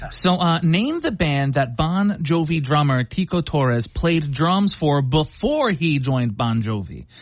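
A man's fairly high voice with an American accent, a plain, everyday voice, lively intonation, very even loudness, a fairly slow pace and hardly any pauses. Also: quiet background. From Philadelphia. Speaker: comedian. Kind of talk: trivia quiz hosting.

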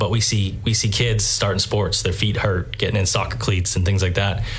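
A man speaks with a fairly low pitch at a fairly quick pace in a monotone, flat intonation. Audible room echo and noticeable background noise surround him. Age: 30s. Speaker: store franchise representative. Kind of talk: interview. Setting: studio.

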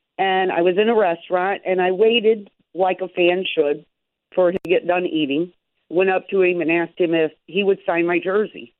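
In an ordinary speaking voice, a woman with an American accent talks at a moderate pace and medium pitch, with fairly even intonation and very even loudness. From Chicago area. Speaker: sports fan caller. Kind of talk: call-in radio chat.

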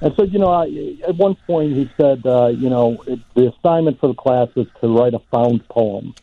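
Speaking at a moderate pace with hardly any pauses, a man with an American accent uses lively intonation in an unremarkable speaking voice. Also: medium pitch for a man. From Chicago. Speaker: literary editor and founder of a literary organization. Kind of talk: interview.

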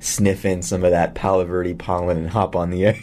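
A man talks at a fairly quick pace with a low pitch. His tone is slightly mellow, with little pitch movement.

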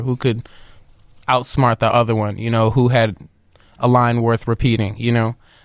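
Speaking at a moderate pace, a man keeps a medium pitch with monotone, flat intonation. The recording is very clean, with a silent background. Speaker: musician and composer. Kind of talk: casual interview chat.

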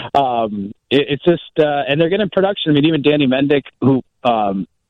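With a normal speaking voice, a man talks at a fairly quick pace with ordinary pitch variation. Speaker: sports radio reporter. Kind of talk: casual chat.

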